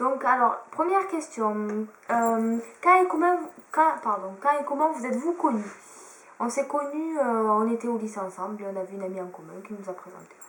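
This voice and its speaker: Moderate speech in a southern French accent, with very wide pitch swings, big swings in loudness and audible room echo. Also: woman, fairly high pitch for a woman. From southern France. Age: 20s. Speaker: beauty YouTuber. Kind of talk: casual chat.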